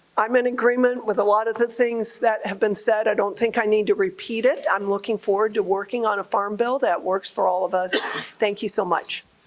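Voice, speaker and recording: Noticeable background noise runs behind a woman's voice. She talks at a fairly quick pace with a fairly high pitch and fairly even intonation. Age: 60s. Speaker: congresswoman and farmer. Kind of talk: public remarks at a listening session. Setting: agricultural show hall with audience.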